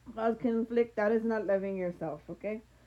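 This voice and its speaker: Her voice has a fairly high pitch and a dark, mellow tone. The woman keeps a fairly even intonation. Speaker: tarot reader. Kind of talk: podcast tarot reading to camera. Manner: loud, near shouting.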